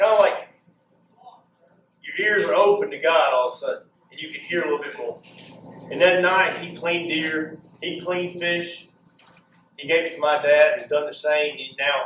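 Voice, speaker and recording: A high-pitched man speaks with fairly even intonation, big swings in loudness and long, frequent pauses. Audible room echo and light background noise are present. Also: moderate pace. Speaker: inspirational speaker; speaker. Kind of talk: motivational speech. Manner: passionate. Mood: earnest, faith-based. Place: hall. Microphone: camera far.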